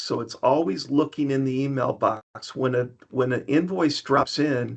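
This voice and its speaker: A man with an unremarkable speaking voice talks at a moderate pace with a fairly high pitch. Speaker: software presenter. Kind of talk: product demo webinar. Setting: online webinar. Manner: many filler ums.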